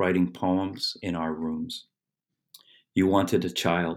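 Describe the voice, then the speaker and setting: At a fairly slow pace, a man speaks in a very deep, low voice. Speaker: poet and professor. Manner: slow, measured, hesitant with filler words.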